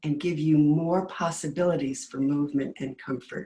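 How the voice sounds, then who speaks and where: Speaking at a fairly slow pace, a woman has a very deep, low voice with a dark, mellow, somewhat breathy tone and ordinary pitch variation. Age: 70s. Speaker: movement class instructor. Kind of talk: class preview talk. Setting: webinar.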